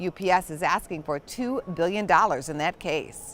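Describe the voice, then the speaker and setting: A woman talks with lively intonation at a moderate pace. She has a normal speaking voice. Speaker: business news anchor. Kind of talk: broadcast business news anchor read.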